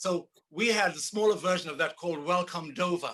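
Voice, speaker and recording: Speaking at a high pitch with a bright, sharp tone, a man keeps a moderate pace and fairly even intonation. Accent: Zulu. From South Africa, Zulu township near Durban. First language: Zulu. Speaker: percussionist and composer. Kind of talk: casual interview. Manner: halting, many repetitions.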